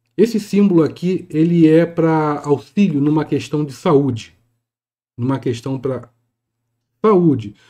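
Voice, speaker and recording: Against a quiet background, a man with a dark, mellow tone speaks at a fairly slow pace with long, frequent pauses, his fairly high pitch moving with ordinary variation. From Brazil. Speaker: spiritual teacher and YouTuber; spiritual teacher, YouTuber. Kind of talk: tutorial. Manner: casual, hesitant. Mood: calm, explanatory.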